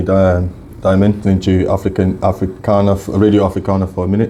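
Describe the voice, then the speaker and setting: Over noticeable background noise, a man speaks very fast in a very deep, low voice with monotone, flat intonation. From Scotland, came to UK young from Africa. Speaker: YouTuber and content creator. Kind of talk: radio interview. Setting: radio studio. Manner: halting.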